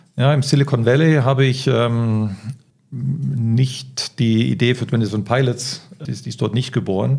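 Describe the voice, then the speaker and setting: At a fairly slow pace, a man with a medium-pitched, somewhat breathy voice speaks with fairly even intonation. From Spain (Barcelona). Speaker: startup founder and consultant. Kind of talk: interview. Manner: hesitant fillers.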